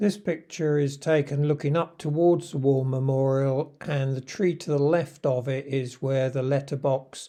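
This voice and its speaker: Against a quiet background, a man with a southern English accent and a dark, mellow tone speaks fairly slowly at a fairly high pitch, his intonation fairly even. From southern England, Surrey. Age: 70s. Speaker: retired vlogger. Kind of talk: video narration.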